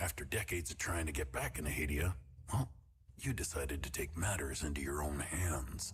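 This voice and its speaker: A man's put-on character voice, very deep and low, at a fairly quick pace with ordinary pitch variation. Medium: video game. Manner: calm, cold, controlled.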